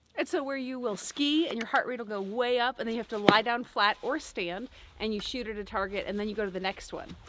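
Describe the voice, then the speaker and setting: Over noticeable background noise, a woman with a fairly high pitch speaks at a very fast pace with ordinary pitch variation. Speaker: family vlogger. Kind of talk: casual chat. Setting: outdoors.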